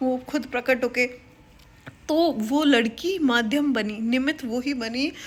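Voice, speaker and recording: A woman speaks in a high, bright, sharp voice with an animated tone. Her pitch varies in an ordinary way. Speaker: government office employee and YouTuber. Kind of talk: casual motivational vlog talk.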